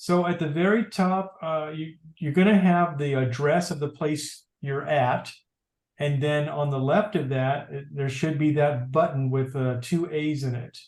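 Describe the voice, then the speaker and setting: A man's unremarkable speaking voice, fairly high in pitch, at a fairly slow pace. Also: ordinary pitch variation. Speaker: tech class instructor. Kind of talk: tutorial. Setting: video call.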